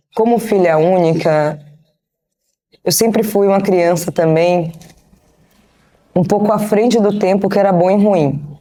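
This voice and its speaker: A dark, mellow tone marks a woman's voice. She talks at a fairly slow pace. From Brazil, Bahia (Salvador). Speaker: business strategist and investor. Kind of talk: interview. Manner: casual.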